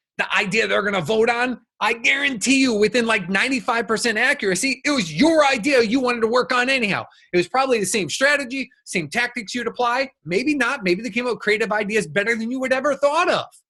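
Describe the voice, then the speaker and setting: A man speaks at a very fast pace in a raised, projected voice with an extremely high pitch and a bright, sharp tone. His delivery is animated, with ordinary pitch variation and hardly any pauses. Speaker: business coach. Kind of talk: recorded workshop talk.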